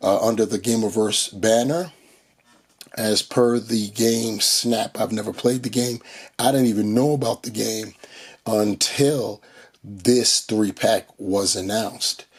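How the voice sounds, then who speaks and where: Pitch varies in an ordinary way. Delivery is very slow. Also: man. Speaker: toy collector reviewer. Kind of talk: product review. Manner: hesitant with many fillers.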